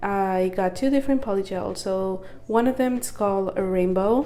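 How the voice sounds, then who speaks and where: Fairly even intonation comes through audible room echo, with music in the background. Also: woman. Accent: non-native. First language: not English. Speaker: nail art YouTuber. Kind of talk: unboxing tutorial, casual. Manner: casual, hesitant.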